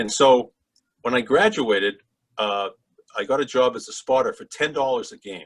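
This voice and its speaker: A man with a Boston accent at a fairly quick pace. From Massachusetts, Boston area (Swampscott). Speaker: sports broadcaster. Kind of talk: interview storytelling.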